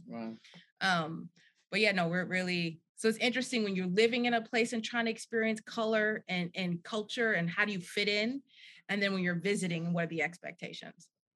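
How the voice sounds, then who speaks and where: Using an ordinary speaking voice, a woman talks at a fairly quick pace with an American accent. Her pitch is medium with ordinary variation. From New Jersey. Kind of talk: casual chat.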